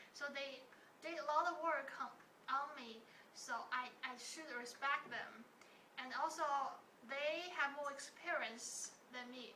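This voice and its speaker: A woman's high, bright, sharp, raised and projected voice with a Chinese accent, fairly slow with long, frequent pauses, fairly even intonation and big swings in loudness, amid audible room echo. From China. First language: Mandarin Chinese. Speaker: interviewee. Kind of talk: interview. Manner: halting.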